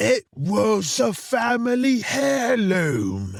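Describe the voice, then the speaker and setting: Loud and very slow, a man puts on a character voice pitched high for a man. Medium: audio drama. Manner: loud, theatrical.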